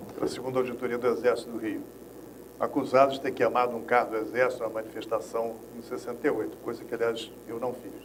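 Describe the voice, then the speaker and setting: A man rattles off his words very fast, with audible echo from the room and noticeable noise behind him. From Rio de Janeiro, Brazil. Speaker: former political prisoner, agroecologist. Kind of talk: interview, personal testimony.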